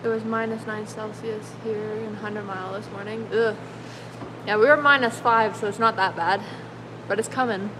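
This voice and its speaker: Speech comes at a moderate pace with fairly even intonation. There is noticeable background noise. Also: woman, fairly high pitch for a woman. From British Columbia, Canada. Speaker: car restorer and painter. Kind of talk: livestream chat reading comments. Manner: casual, filler-heavy.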